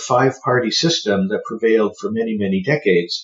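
This man has a Canadian accent and a somewhat breathy voice of medium pitch. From Ontario, Canada (Burlington, near Hamilton and Toronto). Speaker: historian. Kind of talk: interview about his book. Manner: halting, with frequent fillers.

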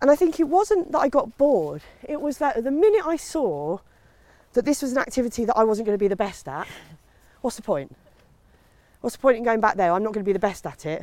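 A woman's high voice in a southern English accent, dark and mellow in tone, at a very fast pace with very wide pitch swings and long, frequent pauses. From Kent, England. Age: 40s. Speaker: comedian. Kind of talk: casual chat. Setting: outdoors.

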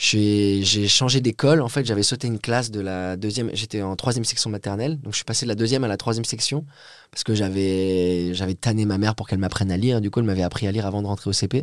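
A man's words come at a very fast pace. Nothing is heard behind him in this very clean recording with a silent background. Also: fairly low pitch for a man, ordinary pitch variation. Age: 20s. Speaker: poet. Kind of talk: casual chat.

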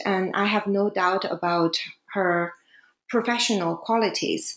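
A woman speaks with a Chinese accent. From China. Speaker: academic author. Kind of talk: interview. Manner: hesitant, many fillers.

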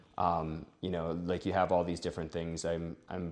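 A man with an American accent, very deep and low in pitch, in a monotone with flat intonation. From Wisconsin. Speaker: wedding photographer. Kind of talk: casual chat. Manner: halting.

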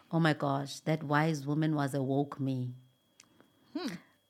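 A woman's very deep, low pitch, with monotone, flat intonation at a fairly slow pace. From South Africa. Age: 30s. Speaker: ship navigator. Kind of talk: casual chat.

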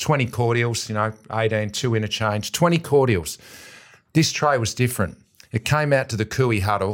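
A man with an Australian accent speaks at a moderate pace and medium pitch, with ordinary pitch variation, on a very clean recording with a silent background. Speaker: AFL footballer and football pundit. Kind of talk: casual chat.

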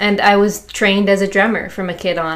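A woman with an American accent talks at a moderate pace in a medium pitch, an ordinary speaking voice. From US Midwest, Chicago. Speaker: musician, drummer. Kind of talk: casual interview.

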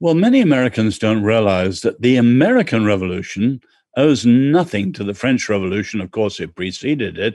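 Over a quiet background, a man with an English accent speaks with lively intonation. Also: medium pitch for a man, fairly quick pace. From born in China, English. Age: 70s. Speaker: author and cultural commentator. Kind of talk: interview.

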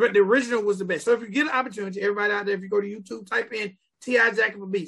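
A man speaks in a raised, projected voice at a high pitch with ordinary pitch variation. His tone is animated and his pace very fast. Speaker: podcast host, music reviewer. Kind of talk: casual video review chat. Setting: studio. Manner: animated, casual.

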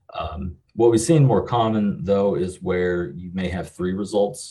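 The voice has a dark, mellow tone, somewhat breathy, and moves at a moderate pace. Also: man. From western Kentucky. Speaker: marketing agency founder and CEO. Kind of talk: casual interview.

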